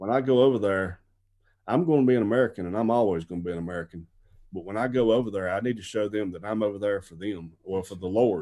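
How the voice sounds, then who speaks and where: A man speaks very fast in a dark, mellow tone, his loudness swinging widely against a quiet background. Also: fairly low pitch for a man, ordinary pitch variation. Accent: South Carolina. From US South, upstate South Carolina. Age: 40s. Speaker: missionary. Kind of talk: interview.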